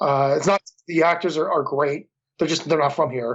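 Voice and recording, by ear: A man with a Philadelphia accent speaks at a moderate pace, his fairly high pitch and fairly bright tone carrying ordinary pitch variation. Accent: mild Philadelphia.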